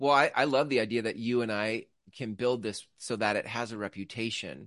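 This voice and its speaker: An unremarkable speaking voice with ordinary pitch variation comes through in a dry, close sound with no echo. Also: man, quiet background. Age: 40s. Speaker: podcast co-host. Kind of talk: casual chat.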